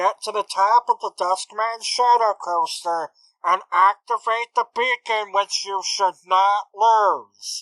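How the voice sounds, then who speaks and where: Someone performs a put-on character voice. The pace is fairly slow, and the background is quiet. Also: woman, medium pitch for a woman. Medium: actual play. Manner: clipped, businesslike.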